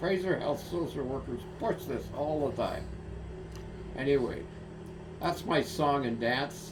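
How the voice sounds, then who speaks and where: With noticeable background noise and audible room echo, a man with a Canadian accent speaks fairly slowly at a fairly high pitch with lively intonation. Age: 80s+. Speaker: retired stroke patient vlogger. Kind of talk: personal video monologue. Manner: halting with many fillers.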